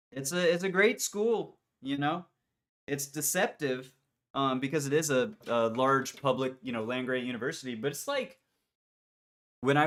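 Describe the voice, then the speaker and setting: A man's fairly high voice, fairly slow, with ordinary pitch variation. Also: very clean recording, silent background. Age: 30s. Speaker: amateur horn player livestreaming practice. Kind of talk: casual livestream chat. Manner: animated.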